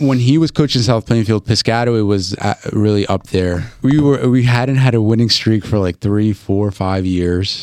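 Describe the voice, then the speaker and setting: An ordinary speaking voice from a man with an American accent, fairly low in pitch, at a moderate pace with ordinary pitch variation, in a dry, close sound with no echo and a very clean recording over a silent background. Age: 20s. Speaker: podcast host. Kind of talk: casual chat.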